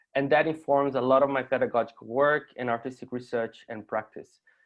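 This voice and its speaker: At a fairly quick pace, a man of medium pitch speaks with a Portuguese accent and fairly even intonation. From Brazil. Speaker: artist and university lecturer. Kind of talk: conference presentation. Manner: halting.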